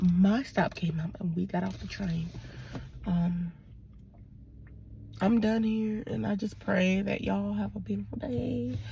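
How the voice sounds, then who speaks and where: With a Virginia accent, a woman speaks at a fairly slow pace with long, frequent pauses. Her fairly low pitch makes very wide swings. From Virginia, Portsmouth. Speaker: vlogger. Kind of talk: casual vlog monologue. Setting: in a car. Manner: casual, rambling with fillers.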